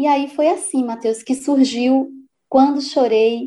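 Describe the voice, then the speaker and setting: A woman speaks at a fairly slow pace in a high pitch. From Paraíba sertão, Patos. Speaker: writer and poet. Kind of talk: interview. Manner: animated.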